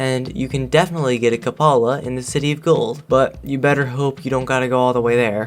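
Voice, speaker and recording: A man speaks with music playing in the background. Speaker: video game reviewer. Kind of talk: game review voiceover.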